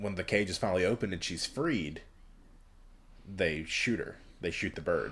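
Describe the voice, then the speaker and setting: A man's very deep, low voice at a moderate pace, with ordinary pitch variation and long, frequent pauses. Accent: Southern US. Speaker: podcast host. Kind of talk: casual chat.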